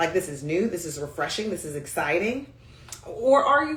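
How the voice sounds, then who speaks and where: Through audible room echo, a woman's animated tone rises and falls in very wide pitch swings. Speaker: communication coach. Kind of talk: livestream talk. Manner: high energy.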